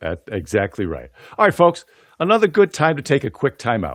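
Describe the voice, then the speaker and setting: Very wide pitch swings and vocal fry mark a man's voice, recorded very cleanly with a silent background and a dry, close sound with no echo. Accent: American. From US, western New York (Buffalo area). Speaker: podcast host and PA announcer. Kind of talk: interview podcast.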